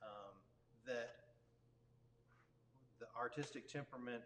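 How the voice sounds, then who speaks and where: A Texan accent at a moderate pace. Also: man. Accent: Texan American. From Texas, Dallas area. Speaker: worship leader. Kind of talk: interview. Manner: halting.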